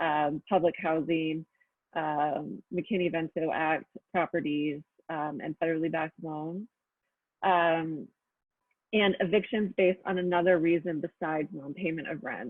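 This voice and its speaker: A woman speaks at a fairly slow pace in an ordinary speaking voice. Her pitch is fairly low and her intonation fairly even. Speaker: housing policy presenter. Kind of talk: webinar presentation. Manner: many filler ums.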